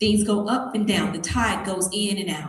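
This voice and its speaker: A woman at medium pitch with a Tennessee accent, moderate pace, and audible room echo. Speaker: motivational speaker, beauty queen. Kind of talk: motivational talk to students.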